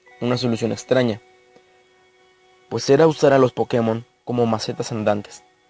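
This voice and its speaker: Over music in the background, a man speaks at a moderate pace with a medium pitch and ordinary pitch variation, the sound dry and close with no echo. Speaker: creepypasta narrator. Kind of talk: horror story narration.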